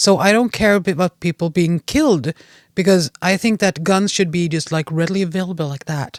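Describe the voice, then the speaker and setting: A fairly quick voice with a Swedish accent, dry and close with no echo, on a very clean recording with a silent background. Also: woman. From Sweden, Gävle area. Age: 40s. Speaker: podcast guest. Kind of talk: casual chat. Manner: halting.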